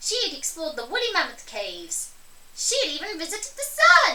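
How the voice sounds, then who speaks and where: A woman puts on a squeaky character voice at an extremely high pitch, with an animated, playful tone. She goes at a fairly quick pace over light background noise. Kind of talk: children's read-aloud storytelling. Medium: read story. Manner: bright, animated, playful.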